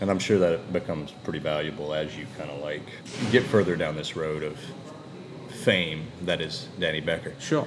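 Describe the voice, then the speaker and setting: A man's very deep, low voice at a moderate pace, with big swings in loudness and music in the background. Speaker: podcast host. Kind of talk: casual interview chat.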